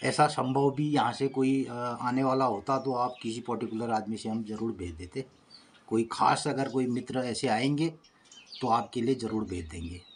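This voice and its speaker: Pitched in the middle range, the man's voice rises and falls in an ordinary way. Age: 60s. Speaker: village vlogger. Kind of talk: casual vlog talk to viewers. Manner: halting, with fillers.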